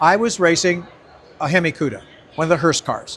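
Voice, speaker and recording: This voice belongs to a man. He talks at a high pitch. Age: 80s+. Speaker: drag racer. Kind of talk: interview answer.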